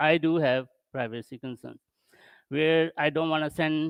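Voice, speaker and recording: A man with a non-native accent at a fairly slow pace and fairly even intonation, dry and close with no echo, against a quiet background. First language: not English. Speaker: tech conference speaker. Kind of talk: tech talk. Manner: halting.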